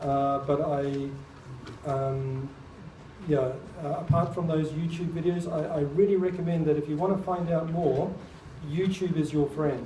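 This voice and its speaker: In a room with audible echo, a man with a fairly high pitch talks at a fairly slow pace with fairly even intonation and long, frequent pauses. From New Zealand (born in England, moved as child). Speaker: artist and speaker on UFOs and crop circles. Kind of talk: public talk with audience Q&A.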